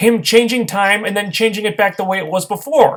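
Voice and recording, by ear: At a fairly quick pace, a man talks in a high pitch with a fairly bright tone and ordinary pitch variation.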